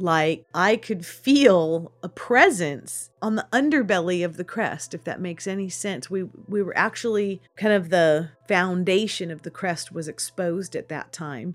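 A woman with an ordinary speaking voice and a medium pitch talks with lively intonation, big swings in loudness and hardly any pauses, on a very clean recording with a silent background. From California foothills, Sutter Creek. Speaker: theatre manager. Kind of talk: interview.

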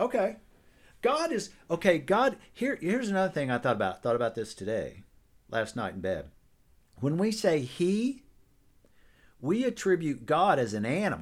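A man speaks at a moderate pace and a high pitch, with very wide pitch swings and long, frequent pauses. The recording is very clean, with a silent background. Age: 60s. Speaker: podcast host. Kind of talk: casual chat.

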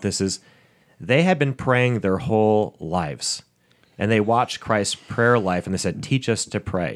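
This is an ordinary speaking voice, a man's at medium pitch with lively intonation. He talks at a fairly slow pace on a very clean recording with a silent background. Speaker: pastor and podcast host. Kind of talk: podcast hosting.

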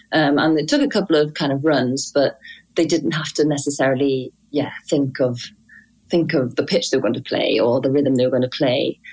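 A woman with a Welsh accent speaks at a moderate pace in a very deep, low voice with fairly even intonation. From Wales. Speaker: singer, violinist and composer. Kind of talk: casual interview. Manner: hesitant, many fillers.

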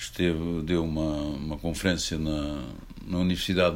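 Audible room echo surrounds a man as he talks. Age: 80s+. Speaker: book publisher. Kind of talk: public talk with Q&A.

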